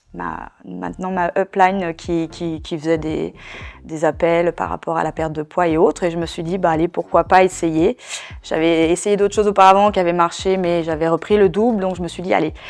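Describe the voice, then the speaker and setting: Fairly low in pitch, a woman speaks at a moderate pace. Her intonation stays fairly even. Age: 40s. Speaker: network marketing seller. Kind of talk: testimony. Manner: hesitant, many fillers.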